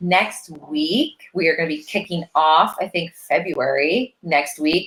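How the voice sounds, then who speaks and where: This is an unremarkable speaking voice. The pace is fairly slow. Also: woman. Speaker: business consultant, online business manager. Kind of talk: live stream tutorial. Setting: live video stream.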